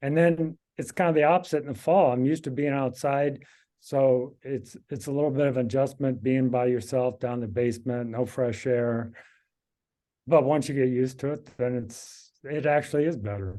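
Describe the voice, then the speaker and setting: A man with an American accent speaks at a moderate pace and a medium pitch. His tone is dark and mellow, with ordinary pitch variation. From Kansas. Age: 60s. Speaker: amateur cyclist. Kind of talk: casual interview.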